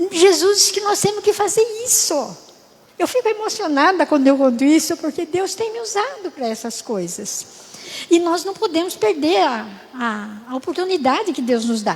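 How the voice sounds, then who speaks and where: Against noticeable background noise, a woman with an extremely high pitch speaks at a moderate pace, her pitch swinging very widely. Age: 80s+. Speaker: church speaker, natural health teacher. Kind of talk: sermon.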